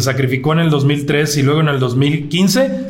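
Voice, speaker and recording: Noticeable background noise and audible room echo around a man with a fairly high pitch. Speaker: political podcast host. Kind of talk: political commentary and interview.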